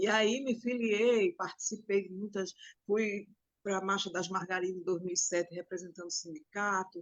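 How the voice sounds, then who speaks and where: Here is a woman with a normal speaking voice. Her pitch is medium and her pace moderate. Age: 60s. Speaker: domestic workers' union leader. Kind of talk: interview testimony.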